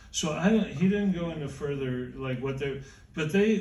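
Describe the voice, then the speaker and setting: Audible room echo around a man's speech. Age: 70s. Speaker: music historian. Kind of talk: interview on stage. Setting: stage with audience. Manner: halting.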